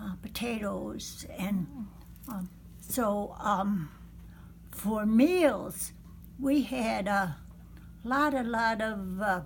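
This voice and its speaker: With audible room echo, a woman speaks very slowly at a medium pitch, somewhat breathy, with ordinary pitch variation and long, frequent pauses. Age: 90s. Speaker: elderly woman telling her life story. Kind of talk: oral history interview. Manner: hesitant, many fillers.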